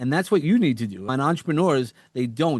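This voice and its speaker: Here a man with a New York accent speaks at a medium pitch. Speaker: entrepreneur and podcast host. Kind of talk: podcast interview. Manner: animated.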